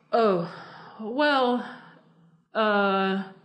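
The speaker has an American accent and ordinary pitch variation. Room echo is audible in the recording. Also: woman. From Philadelphia, US. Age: 40s. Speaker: cartoonist. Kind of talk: casual interview.

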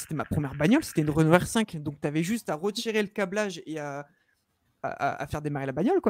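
Against a quiet background, a man with a high pitch talks in an animated tone at a very fast pace with lively intonation. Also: dry sound with no echo. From northern France, Lille; France. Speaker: vape youtuber. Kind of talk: casual chat. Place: home room. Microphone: studio mic.

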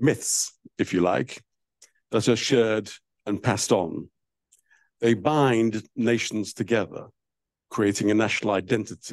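A man speaks at a fairly slow pace with long, frequent pauses, his pitch fairly low and its variation ordinary. His loudness stays very even, and the sound is dry with no echo against a quiet background. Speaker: panel chair. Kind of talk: opening remarks at a public lecture. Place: hall.

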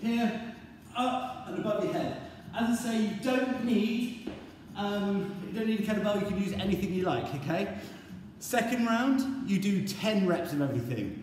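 A man talks at a high pitch, with light background noise and audible room echo. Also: ordinary pitch variation, moderate pace. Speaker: fitness instructor. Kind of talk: workout instruction. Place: gym. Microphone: camera far.

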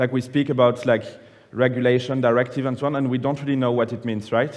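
A French-accented man's voice. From France (Nice); France. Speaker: public affairs manager presenting policy; conference presenter. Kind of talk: conference presentation. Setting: conference plenary room with audience. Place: hall.

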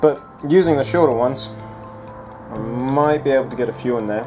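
Over music in the background, the speaker moves at a fairly quick pace with ordinary pitch variation. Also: man. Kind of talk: tutorial commentary. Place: workshop.

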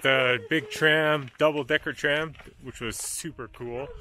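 At a very slow pace, a man speaks with ordinary pitch variation, the sound dry with no echo and light background noise. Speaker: travel vlogger. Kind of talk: casual vlog chat. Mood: excited, cheerful.

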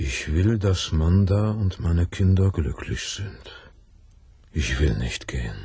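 A man's put-on character voice, low-pitched with a dark, mellow tone and a husky, rough edge, slow in pace with lively intonation.

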